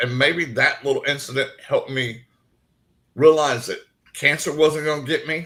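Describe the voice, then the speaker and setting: Speaking in a Southern US accent, a man keeps to a moderate pace. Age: 60s. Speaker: paranormal investigator and cancer survivor. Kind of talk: interview.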